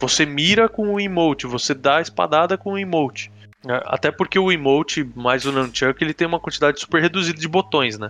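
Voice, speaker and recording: With a bright, sharp tone, a man at a fairly high pitch talks at a fairly quick pace and ordinary pitch variation. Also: dry, close sound with no echo. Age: 30s. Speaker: video game podcast guest. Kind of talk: casual chat.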